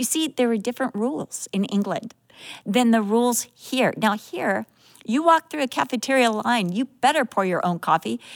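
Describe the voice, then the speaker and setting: A woman with an ordinary speaking voice and an American accent talks at a moderate pace, fairly high in pitch, with lively intonation. The recording is very clean, with a silent background, and the sound is dry and close, with no echo. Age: 60s. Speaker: Bible teacher. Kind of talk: Bible teaching.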